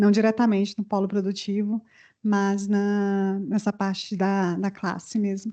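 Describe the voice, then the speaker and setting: In a Goiás accent, a woman speaks at a fairly slow pace with a dark, mellow tone. Her intonation is flat and monotone over a quiet background. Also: medium pitch for a woman. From Goiás, Brazil. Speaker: HR manager. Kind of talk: self-introduction at meeting.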